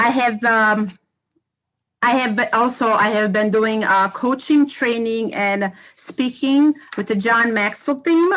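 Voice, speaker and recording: In a Bosnian accent, a woman speaks at a very slow pace. Her loudness stays very even, with ordinary pitch variation. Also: fairly high pitch for a woman. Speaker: educator and community organization co-founder. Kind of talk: self-introduction on a livestream panel. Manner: halting, many fillers.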